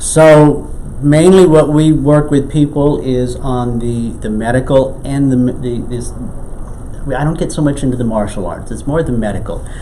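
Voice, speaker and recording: Over noticeable background noise and audible room echo, a man talks fairly slowly at a medium pitch with ordinary pitch variation. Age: 60s. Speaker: qigong instructor. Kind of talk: interview. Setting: in a home.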